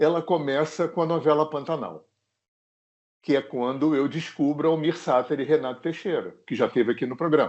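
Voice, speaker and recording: A man speaks at a moderate pace in a normal speaking voice. His pitch sits fairly high. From Rio de Janeiro, Zona Sul. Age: 60s. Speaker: singer-songwriter. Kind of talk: interview. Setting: remote recording.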